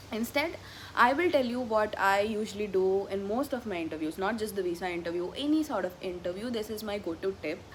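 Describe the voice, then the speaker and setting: A woman speaks with an Indian accent at a fairly quick pace. Her pitch is medium and her intonation lively. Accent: Indian English (Telugu). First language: Telugu. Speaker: vlogger, graduate student. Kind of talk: casual vlog Q&A. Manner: casual, with frequent fillers and self-corrections.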